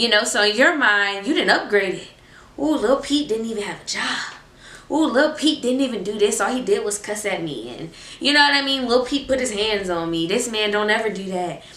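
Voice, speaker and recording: A woman with a fairly high pitch and lively intonation talks at a fairly quick pace, with audible room echo and noticeable background noise. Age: 20s. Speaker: faith vlogger. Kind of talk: casual chat. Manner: animated.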